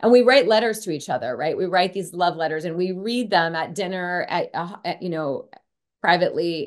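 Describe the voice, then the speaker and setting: Against a quiet background, a woman with an American accent talks at a fairly quick pace in an unremarkable speaking voice, her pitch fairly low with ordinary variation. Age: 50s. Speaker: clinical psychologist and author. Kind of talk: interview.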